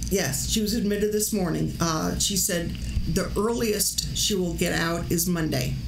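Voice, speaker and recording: A woman talks at a fairly slow pace against noticeable background noise. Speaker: livestream host. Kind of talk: casual livestream chat. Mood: concerned, a bit amused. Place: home room.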